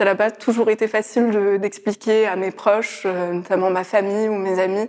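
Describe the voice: Her tone is slightly mellow at a medium pitch. The woman speaks at a moderate pace with little pitch movement.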